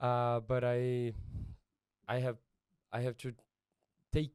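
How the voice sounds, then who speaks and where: A man with a Brazilian accent speaks at a very slow pace. His voice is medium in pitch. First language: Portuguese. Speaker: missionary pastor. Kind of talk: casual interview. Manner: halting non-native English.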